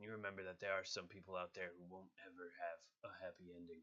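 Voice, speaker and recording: A raspy, put-on character voice rattles along at a very fast pace with monotone, flat intonation. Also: man, very deep, low pitch for a man. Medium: voice reel. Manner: grim, cold.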